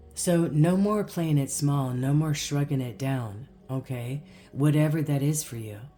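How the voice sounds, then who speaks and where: The pace is fairly slow. Music plays in the background. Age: 60s. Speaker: spiritual guidance channel host. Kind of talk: inspirational spiritual monologue to camera. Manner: animated, conversational with fillers.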